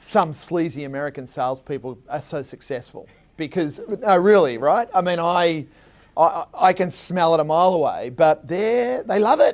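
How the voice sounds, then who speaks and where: A man speaks with an Australian accent. His pitch is fairly high and his intonation lively. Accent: Australian, kept after 27 years in US. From Australia, Melbourne. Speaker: tech company co-founder, marketing executive. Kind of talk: interview at public forum. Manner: animated.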